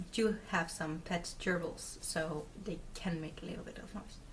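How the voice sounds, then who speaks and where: A woman in a Dutch accent speaks at a fairly slow pace and fairly low pitch, with big swings in loudness. Audible room echo and noticeable background noise fill the recording. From Netherlands. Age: 20s. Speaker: craft video podcaster. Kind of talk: casual video podcast chat. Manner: hesitant, many fillers.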